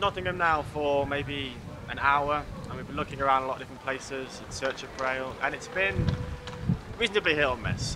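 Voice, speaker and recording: Over a noticeable hum of background noise, this man's speech runs fairly quick, its pitch rising and falling in an ordinary way. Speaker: presenter. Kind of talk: documentary presenting to camera. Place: street.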